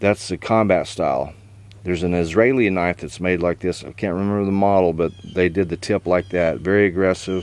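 The sound is dry with no echo as a man speaks at a fairly quick pace. His pitch is very deep and low, and his intonation fairly even. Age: 60s. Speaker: knife reviewer and knife maker; knife reviewer. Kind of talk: casual product review. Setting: outdoors. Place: garden. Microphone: camera far.

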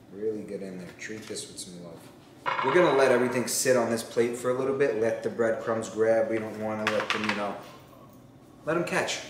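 Noticeable background noise and audible room echo surround a man who talks at a fairly quick pace. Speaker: home cook vlogger. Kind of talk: casual cooking tutorial chat. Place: kitchen.

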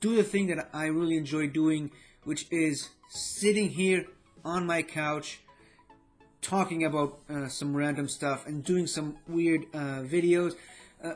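A man speaks at a fairly slow pace with fairly even intonation. Faint music sits in the background. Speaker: vlogger. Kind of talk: casual vlog chat. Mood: grateful, warm. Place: home room.

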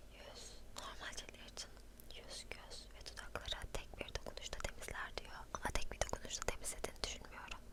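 Noticeable background noise surrounds a whisper moving at a moderate pace. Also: woman. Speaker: ASMR creator. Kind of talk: ASMR show and tell. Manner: soft-spoken, whispering.

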